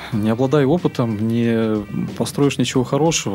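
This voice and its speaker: A man speaks at a medium pitch with ordinary pitch variation, and noticeable background noise can be heard. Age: 30s. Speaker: chef and restaurant business owner. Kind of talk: interview.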